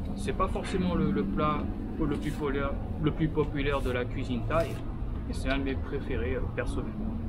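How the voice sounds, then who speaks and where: Loud background noise fills the clip. Over it, a man speaks at a moderate pace. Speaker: food vlogger. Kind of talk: casual vlog chat. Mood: relaxed, cheerful. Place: street.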